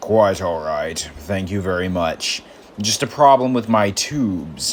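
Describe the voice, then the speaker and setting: Putting on a raspy character voice, a man speaks at a fairly low pitch and a fairly slow pace. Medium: read story. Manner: polite, gentle.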